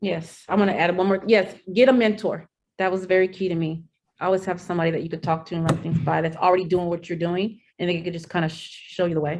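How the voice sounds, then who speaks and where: Very fast speech from a woman, fairly low in pitch and fairly even in intonation. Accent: American. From Santa Ana, California. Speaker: paralegal. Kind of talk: panel interview.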